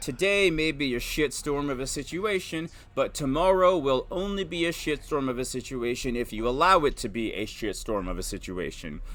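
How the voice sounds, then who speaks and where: A man with a fairly high pitch, lively intonation, and an animated tone, at a moderate pace with hardly any pauses. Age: 30s. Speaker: stay-at-home dad and video host. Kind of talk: personal monologue. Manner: loud.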